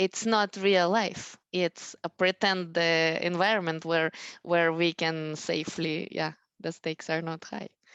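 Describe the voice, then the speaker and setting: A woman with a non-native accent, fairly low in pitch, fairly slow and monotone, flat, with a dry, close sound with no echo over a quiet background. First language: not English. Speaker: math educator, school founder. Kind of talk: parent education talk. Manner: halting, many fillers.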